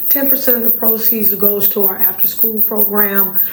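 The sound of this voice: The voice is raspy, with little pitch movement, at a moderate pace. Audible room echo surrounds it. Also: woman.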